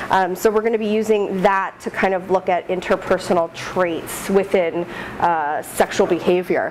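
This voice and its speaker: A woman with fairly even intonation over noticeable background noise. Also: medium pitch for a woman, moderate pace. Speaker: postdoctoral researcher presenting study. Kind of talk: research presentation. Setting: room with live audience, no mic. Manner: loud.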